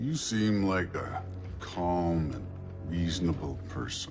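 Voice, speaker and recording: Doing a put-on character voice, a man speaks at a very deep, low pitch and a fairly slow pace over clear background noise. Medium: video game. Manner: dry, sarcastic.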